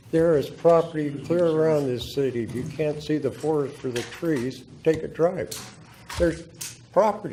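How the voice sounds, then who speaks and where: Noticeable background noise and audible room echo surround a man whose fairly high voice shows ordinary pitch variation. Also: moderate pace. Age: 80s+. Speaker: public commenter, veteran. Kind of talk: public testimony at council meeting. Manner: animated, confrontational.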